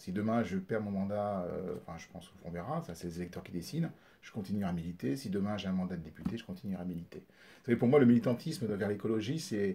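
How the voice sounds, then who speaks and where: A man races along at a very fast pace with lively intonation and big swings in loudness. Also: fairly low pitch for a man. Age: 50s. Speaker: politician. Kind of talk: interview. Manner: halting.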